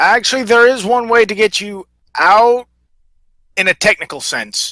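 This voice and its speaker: In a put-on character voice, a man talks at a moderate pace with an extremely high pitch on a very clean recording with a silent background. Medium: actual play.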